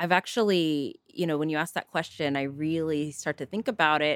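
With a Californian accent, a woman speaks at a very deep, low pitch on a very clean recording with a silent background and a dry, close sound with no echo. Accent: Californian American English. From Northern California. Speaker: physician. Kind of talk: casual interview chat.

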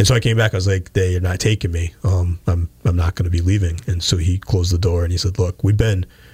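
A somewhat breathy voice with a dark, mellow tone and an American accent, very fast with hardly any pauses, very even loudness and fairly even intonation. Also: man, very deep, low pitch for a man. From western Massachusetts (Pittsfield). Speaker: police chief. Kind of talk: interview. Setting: radio studio.

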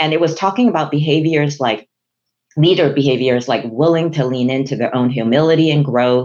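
A woman with a Chinese accent speaks at a fairly quick pace in a very deep, low pitch, keeping very even loudness and ordinary pitch variation. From Hong Kong. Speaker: chief human resources officer. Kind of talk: professional interview conversation.

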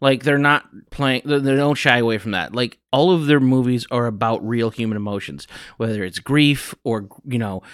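Recorded dry and close with no echo, a man with an American accent has an ordinary speaking voice at medium pitch with ordinary pitch variation. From US Midwest, northern Illinois. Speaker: podcast co-host. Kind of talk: casual chat.

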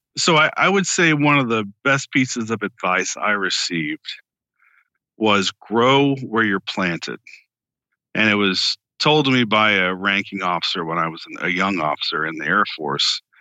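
With an ordinary speaking voice, a man of fairly low pitch talks at a moderate pace with lively intonation. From Florida, Tampa. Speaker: author and former intelligence officer. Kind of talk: interview.

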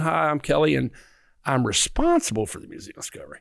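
A man talks at a very fast pace with a Southern US accent. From Arkansas. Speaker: museum CEO. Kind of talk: interview. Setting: newspaper office.

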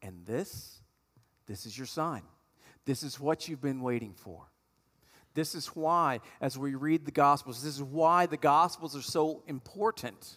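This man's speech is fairly slow, with ordinary pitch variation. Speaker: pastor. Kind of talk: sermon. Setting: church. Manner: animated, emphatic preacher delivery with repeated phrases for emphasis.

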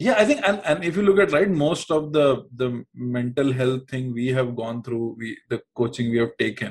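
Somewhat breathy, the voice moves with lively intonation. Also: man. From India, Uttar Pradesh. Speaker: startup co-founder. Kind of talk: casual chat.

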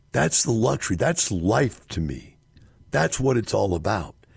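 A man with vocal fry speaks at a fairly slow pace, his pitch swinging very widely. The recording is very clean, with a silent background. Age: 60s. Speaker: radio host and real estate investor. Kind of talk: radio monologue.

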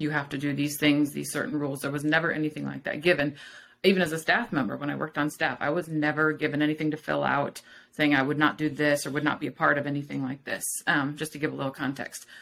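Very fast and monotone, a woman talks with vocal fry in a very deep, low voice with flat intonation. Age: 40s. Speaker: former missionary. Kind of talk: casual interview.

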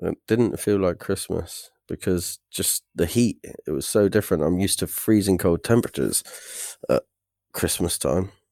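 Recorded very cleanly against a silent background, with a dry, close sound and no echo, a man with a West Country accent speaks at a moderate pace in a very deep, low pitch and a dark, mellow tone, using ordinary pitch variation. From England, South Devon (Torquay). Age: 20s. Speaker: traveller, expat. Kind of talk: casual chat.

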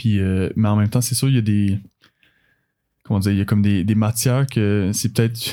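A man with a fairly low, dark, mellow voice talks at a fairly quick pace, with long, frequent pauses. His loudness stays very even and his intonation fairly even. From Quebec, Laurentides (Blainville). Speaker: university swimmer and physiotherapy student. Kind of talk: casual interview. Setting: studio. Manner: halting, with many repetitions and fillers.

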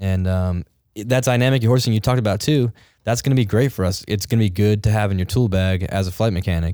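In a very clean recording with a silent background, a man speaks at a very fast pace with a fairly low, dark, mellow voice and ordinary pitch variation. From Massachusetts. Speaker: helicopter flight mechanic. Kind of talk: casual chat. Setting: studio.

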